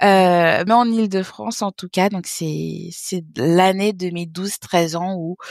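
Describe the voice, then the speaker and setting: A woman's medium-pitched voice at a very slow pace, with hardly any pauses, ordinary pitch variation and big swings in loudness. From French Guiana (born in Haiti). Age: 30s. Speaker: business developer and entrepreneur. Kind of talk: interview.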